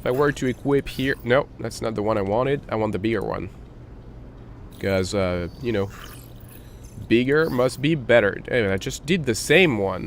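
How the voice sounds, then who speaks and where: With long, frequent pauses, a man speaks at a moderate pace in a medium pitch with ordinary pitch variation. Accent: non-native. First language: not English. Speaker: gaming tutorial youtuber. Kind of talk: tutorial. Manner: hesitant, many fillers.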